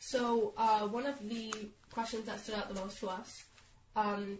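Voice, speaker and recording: A woman's fairly high-pitched voice at a moderate pace, with noticeable background noise. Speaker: podcast co-host. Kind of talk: casual chat.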